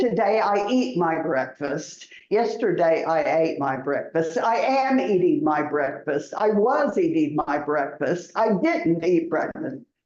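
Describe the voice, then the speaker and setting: The speaker has an American accent and a fairly slow pace. Hardly any pauses break up the speech. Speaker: English and citizenship test teacher. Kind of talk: ESL class lesson. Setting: classroom, live-streamed. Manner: slow, clear teacher speech.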